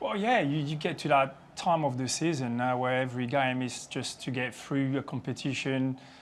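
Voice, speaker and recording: A man's fairly high, monotone voice with flat intonation at a moderate pace, music in the background. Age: 40s. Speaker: football pundit. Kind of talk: casual chat.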